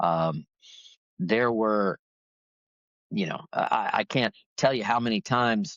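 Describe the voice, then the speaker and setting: With lively intonation and long, frequent pauses, a man with an American accent speaks very slowly. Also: medium pitch for a man. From Florida. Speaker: professional golfer and golf broadcaster. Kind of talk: interview answer.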